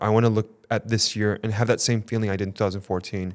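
A man's fairly low, monotone voice at a very fast pace, flat in intonation, on a very clean recording with a silent background. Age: 30s. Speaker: photographer and podcast co-host. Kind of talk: interview. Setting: studio.

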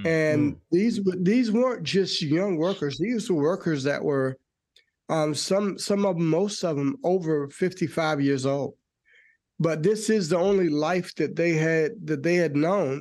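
Speaking at a fairly slow pace, a man with an American accent uses a high pitch and ordinary pitch variation against a quiet background. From North Carolina. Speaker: union vice president. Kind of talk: interview.

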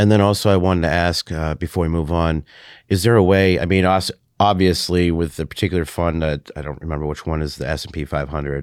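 A man's very deep, low voice at a very fast pace, with fairly even intonation, on a very clean recording with a silent background. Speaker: podcast host and Marine Corps veteran. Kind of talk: interview.

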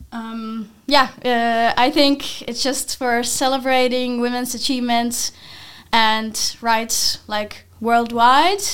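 A woman's high voice at a very slow pace and fairly even intonation, in a very clean recording with a silent background. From Finland. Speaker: university student. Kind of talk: casual interview.

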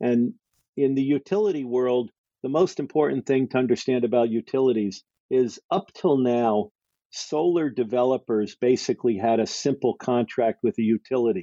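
A man speaks in a plain, everyday voice at medium pitch. His pace is moderate, his pitch varies normally, and his loudness stays very even. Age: 60s. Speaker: entrepreneur and investor. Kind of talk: interview.

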